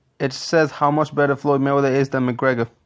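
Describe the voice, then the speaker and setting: Very fast, monotone, flat speech from a fairly high-pitched man with a non-native accent. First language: not English. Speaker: boxing commentary youtuber. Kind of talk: casual commentary reading out quotes. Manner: halting, self-correcting.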